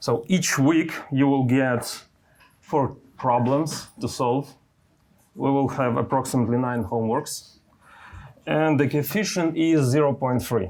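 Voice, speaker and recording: A man at a medium pitch with a non-native accent, a fairly slow pace, long, frequent pauses, and ordinary pitch variation. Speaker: university lecturer. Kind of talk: lecture. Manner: halting, with fillers.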